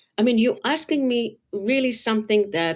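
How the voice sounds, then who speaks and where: Speaking at a moderate pace, a woman uses a fairly high pitch. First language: not English. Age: 50s. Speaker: color designer and author. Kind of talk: interview. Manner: halting.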